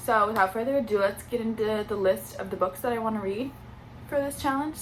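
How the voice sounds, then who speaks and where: Noticeable background noise sits behind a woman with a fairly high pitch. She speaks at a fairly quick pace with ordinary pitch variation. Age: 20s. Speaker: booktuber. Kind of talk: casual vlog chat.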